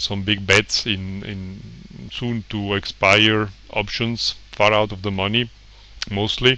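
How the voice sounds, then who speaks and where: A man with a non-native accent speaks in a monotone, flat intonation at a fairly low pitch. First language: not English. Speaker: trader and website owner. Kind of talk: tutorial presentation. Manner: informal, hesitant with fillers.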